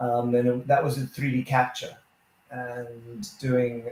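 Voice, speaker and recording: A somewhat breathy man's voice of medium pitch at a fairly slow pace. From South Africa. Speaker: photographer and co-host. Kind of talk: casual chat.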